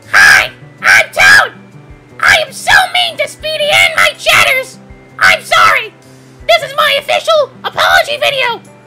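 In a put-on character voice at an extremely high pitch, the speaker shouts with long, frequent pauses over faint background music. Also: moderate pace. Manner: loud.

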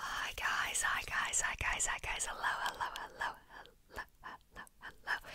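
A woman is whispering at a fairly slow pace. She hardly pauses at all. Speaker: ASMR creator. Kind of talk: ASMR whisper video. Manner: whispered. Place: home room. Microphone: studio mic.

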